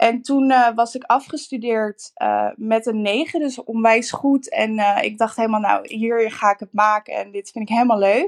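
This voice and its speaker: A woman's normal speaking voice, fairly high in pitch, at a moderate pace with hardly any pauses and ordinary pitch variation, on a very clean recording with a silent background and a dry, close sound with no echo. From Netherlands, Rotterdam. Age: 20s. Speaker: interior designer. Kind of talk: interview.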